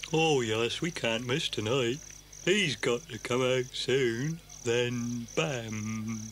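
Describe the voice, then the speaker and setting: A man's put-on character voice, medium in pitch, very slow, over clear background noise. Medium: audio drama. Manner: hesitant, jumpy.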